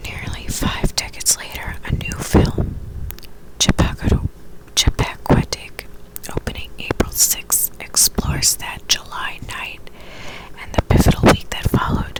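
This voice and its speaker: A woman whispers with big swings in loudness against noticeable background noise. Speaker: ASMR creator. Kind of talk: ASMR whispered reading of a magazine article. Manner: whispered.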